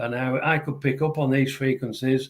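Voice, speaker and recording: The voice belongs to a man. He talks at a moderate speed. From Yorkshire, northern England. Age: 70s. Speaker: ET contactee and spiritual author. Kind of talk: interview conversation.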